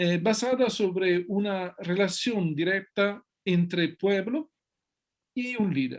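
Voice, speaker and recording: The speaker talks at a very slow pace in an Italian accent with ordinary pitch variation. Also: man, high pitch for a man. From Italy. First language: Italian (speaking Spanish). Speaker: sociology researcher and author. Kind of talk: interview. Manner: halting, many fillers and restarts.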